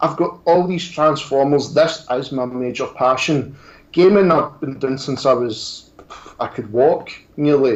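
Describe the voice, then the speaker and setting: Speaking with a strong Scottish accent, a man talks fairly slowly at a fairly high pitch with ordinary pitch variation. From Scotland. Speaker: toy reviewer and YouTuber. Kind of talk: casual interview chat.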